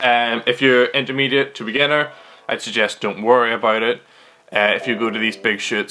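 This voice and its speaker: A man talks at a moderate speed against noticeable background noise. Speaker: archery vlogger. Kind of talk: casual vlog tutorial. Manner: halting, many fillers.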